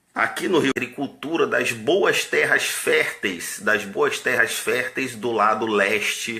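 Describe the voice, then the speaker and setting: Very slowly and at a very even loudness, a man talks as noticeable background noise goes on. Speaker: army officer. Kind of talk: political monologue.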